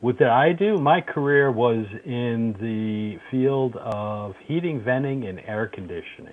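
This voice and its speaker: A man with an unremarkable speaking voice talks at a fairly slow pace in a medium pitch, his intonation lively and hardly any pauses breaking it up. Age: 60s. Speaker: retired HVAC tradesman. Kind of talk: casual chat.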